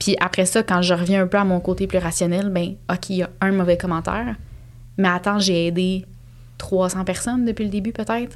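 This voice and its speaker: At a moderate pace, a woman with a medium-pitched voice speaks in a flat monotone. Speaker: cat behaviour specialist and entrepreneur. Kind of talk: casual interview conversation.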